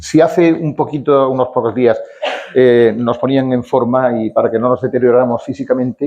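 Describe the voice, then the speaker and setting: An unremarkable speaking voice from a man, pitched in the middle range and delivered at a moderate pace. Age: 60s. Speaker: event presenter at a veterans' club. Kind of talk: speaker introduction at a talk. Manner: reading a long bio from notes.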